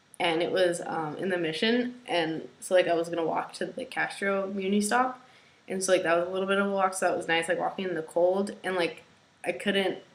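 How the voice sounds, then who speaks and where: There is noticeable background noise as a woman speaks at a medium pitch. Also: ordinary pitch variation. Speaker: video blogger. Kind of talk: casual vlog monologue. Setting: at home. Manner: hesitant, many fillers.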